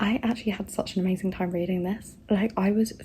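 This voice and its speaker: Over noticeable background noise, a woman speaks quietly at a very fast pace. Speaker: booktuber vlogger. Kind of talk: casual vlog talk to camera. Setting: at home late at night. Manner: quiet, hushed; excited, gushing.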